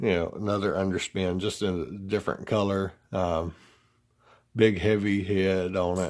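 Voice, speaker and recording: In a strong Southern US accent, a man speaks at a moderate pace in a very deep, low voice with monotone, flat intonation, on a very clean recording with a silent background. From US South. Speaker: fishing tackle reviewer. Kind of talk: product review. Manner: halting, many fillers.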